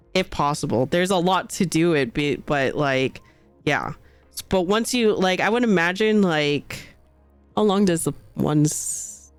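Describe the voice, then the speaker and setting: Music plays behind a woman speaking fairly slowly in a fairly low pitch. Her intonation is lively. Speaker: streamer. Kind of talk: casual talk to stream chat.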